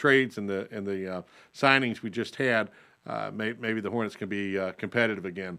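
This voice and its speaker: With a North Carolina accent, a man speaks at a fairly low pitch in a bright, sharp tone. The recording is very clean with a silent background. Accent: North Carolina Southern. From North Carolina (Lincolnton, Lake Norman area). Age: 40s. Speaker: state legislator and radio host. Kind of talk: radio talk show.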